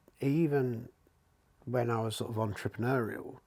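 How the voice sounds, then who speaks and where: A man with an East London accent talks at a moderate pace and a medium pitch. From England, East London. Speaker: leadership coach. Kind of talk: casual chat.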